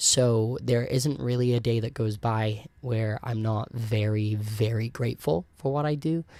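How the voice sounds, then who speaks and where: A man with an American accent, medium in pitch, fairly slow and fairly even in intonation, on a very clean recording with a silent background. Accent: sounds American. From South Wales, Merthyr Tydfil. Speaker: podcast host and cruise ship performer. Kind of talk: casual solo podcast chat. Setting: home recording with camera and microphone. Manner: casual with many ums. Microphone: new actual microphone.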